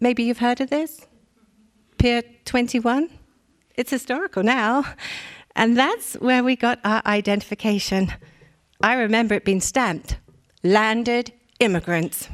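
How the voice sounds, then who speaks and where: A woman with an English accent speaks fairly slowly at a fairly high pitch, with ordinary pitch variation. The sound is dry and close with no echo, and her pauses are long and frequent. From England. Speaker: war bride; reader of an oral history. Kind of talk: dramatic reading of an oral history.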